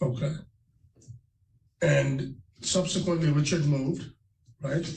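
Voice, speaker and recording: A man talks at a fairly slow pace. His voice carries vocal fry. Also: fairly high pitch for a man, ordinary pitch variation. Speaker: lawyer. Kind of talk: courtroom questioning.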